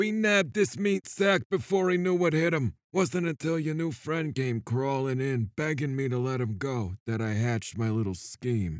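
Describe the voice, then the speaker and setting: In a put-on character voice at a medium pitch, a man speaks at a moderate pace with hardly any pauses. The recording is very clean, with a silent background. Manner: gloating, menacing, self-pitying.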